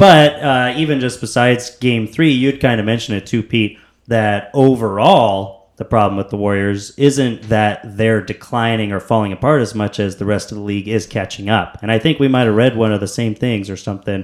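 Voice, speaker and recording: On a very clean recording with a silent background, a man speaks in a plain, everyday voice at medium pitch and a moderate pace, with ordinary pitch variation and hardly any pauses. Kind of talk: casual chat.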